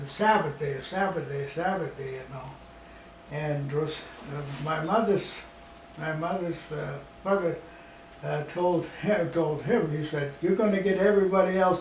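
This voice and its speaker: Noticeable background noise sits behind a man with a fairly high pitch, ordinary pitch variation and a moderate pace. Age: 80s+. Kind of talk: interview answer. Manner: rambling, hesitant.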